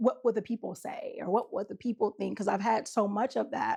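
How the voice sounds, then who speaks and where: A woman's fairly high, dark, mellow voice with vocal fry and ordinary pitch variation. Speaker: relationship coach. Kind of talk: casual talk to camera. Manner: animated, filler-heavy.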